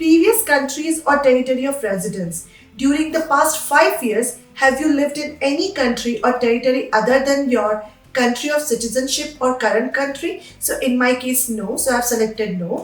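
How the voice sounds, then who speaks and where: A woman with an Indian accent, high-pitched and lively in intonation, at a moderate pace, with audible room echo and music in the background. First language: Hindi. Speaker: immigration advice youtuber. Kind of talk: tutorial.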